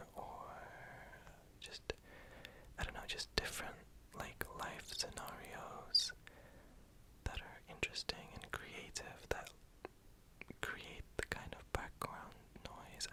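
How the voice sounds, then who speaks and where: Someone whispers at a very slow pace, with long, frequent pauses. Background noise is noticeable. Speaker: ASMR artist. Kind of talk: ASMR whispered introduction talk. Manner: whispered.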